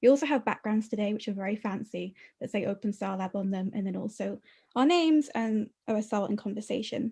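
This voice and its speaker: A woman with a British accent speaks at a very fast pace with a fairly high pitch, ordinary pitch variation, and a dark, mellow, somewhat breathy tone over a quiet background. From Britain. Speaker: webinar co-host, community manager. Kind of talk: webinar interview.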